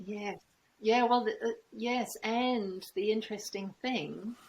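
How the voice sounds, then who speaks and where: This woman's voice is somewhat breathy. She speaks very slowly. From United Kingdom. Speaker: trauma facilitator. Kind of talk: interview answer.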